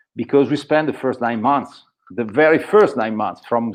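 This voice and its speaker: A man with an Italian accent, medium in pitch, with ordinary pitch variation against a quiet background. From northern Italy, Varese province. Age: 50s. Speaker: free diver. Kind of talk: interview. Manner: halting.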